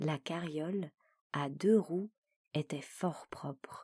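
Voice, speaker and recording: A woman with a fairly low, dark and mellow voice talks in a calm tone with fairly even intonation. The sound is dry and close with no echo, in a very clean recording with a silent background. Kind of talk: audiobook reading of a classic short story; sleep story. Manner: soft, calm.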